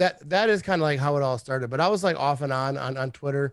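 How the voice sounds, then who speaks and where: In a very clean recording with a silent background, a man with an American accent speaks at a medium pitch. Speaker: sports fan podcaster. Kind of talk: casual chat.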